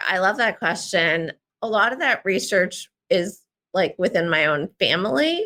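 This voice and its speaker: A woman's medium-pitched, bright, sharp voice with an American accent, a fairly slow pace and very wide pitch swings. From US Northeast, Central New Jersey. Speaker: memoir writer. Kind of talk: interview. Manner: halting, many fillers.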